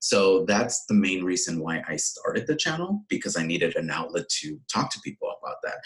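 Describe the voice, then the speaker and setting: Amid noticeable background noise, a man talks fairly quickly with hardly any pauses. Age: 30s. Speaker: watch YouTuber. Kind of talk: casual chat.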